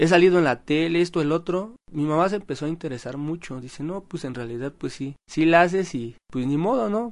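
Over a quiet background, a man with an unremarkable speaking voice talks at a fairly quick pace with hardly any pauses, in a fairly high pitch with ordinary pitch variation. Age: 20s. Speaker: airbrush artist. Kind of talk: interview.

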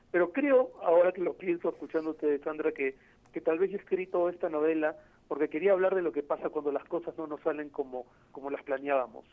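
Ordinary pitch variation from a man with a fairly high pitch, talking at a fairly quick pace. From Peru. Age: 40s. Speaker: novelist and journalist. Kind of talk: interview. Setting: phone call. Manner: halting, many fillers.

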